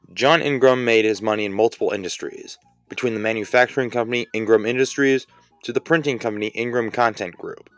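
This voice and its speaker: Over music in the background, a man with medium pitch talks at a very fast pace, the sound dry and close with no echo. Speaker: sports explainer YouTuber. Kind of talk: casual explainer narration. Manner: wry, sarcastic.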